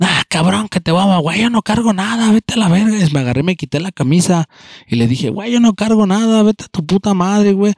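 An animated man with lively intonation and a high pitch, in a dry, close sound with no echo. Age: 30s. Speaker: podcaster. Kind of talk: casual monologue.

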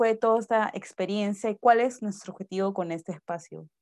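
A woman's dark, mellow voice at a fairly quick pace, dry and close with no echo over a quiet background. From Peru. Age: 20s. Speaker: podcast co-host, Chinese translator and interpreter. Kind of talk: casual chat.

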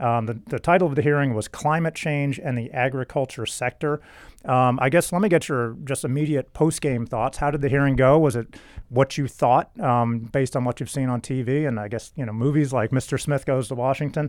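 Speaking fairly quickly in a normal speaking voice, a man at medium pitch shows ordinary pitch variation on a very clean recording with a silent background. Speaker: trade association podcast host. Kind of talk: podcast interview.

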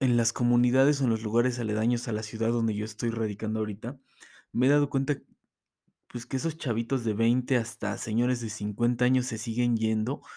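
In a Mexico City accent, a man speaks at medium pitch with a dark, mellow tone and monotone, flat intonation. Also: fairly quick pace. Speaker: podcast host. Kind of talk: casual monologue.

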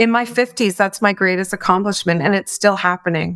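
A woman's ordinary speaking voice at medium pitch with ordinary pitch variation, on a very clean recording with a silent background. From Atlantic Canada, Maritimes. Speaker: business consultant and former CEO. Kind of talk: interview conversation.

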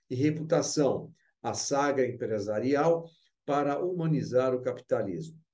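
A man with a fairly high pitch and a dark, mellow tone. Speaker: event host and moderator. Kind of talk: presenting and interviewing.

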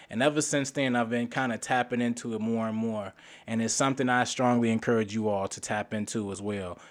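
This is a man with an ordinary speaking voice, medium in pitch, at a fairly quick pace with fairly even intonation. The recording is very clean, with a silent background. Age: 30s. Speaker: podcast co-host, journalist. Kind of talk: casual chat.

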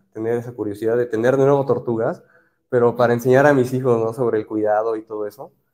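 A man talks at medium pitch in a dark, mellow tone, keeping his intonation fairly even. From Mexico, Orizaba, Veracruz. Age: 30s. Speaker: aquascaper, industrial engineer. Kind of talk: interview. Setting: aquarium shop, live stream.

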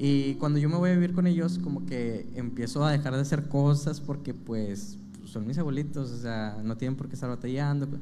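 Lively intonation marks a man's fairly high voice as he talks at a moderate pace with hardly any pauses. Room echo is audible around him. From Monterrey, Nuevo León, Mexico. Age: 20s. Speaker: preacher in rehab centers. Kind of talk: testimony. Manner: halting, many fillers.

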